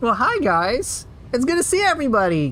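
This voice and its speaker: A female-sounding, put-on character voice, high-pitched and nasal with very wide pitch swings, moves at a fairly quick pace over light background noise. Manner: cheerful greeting.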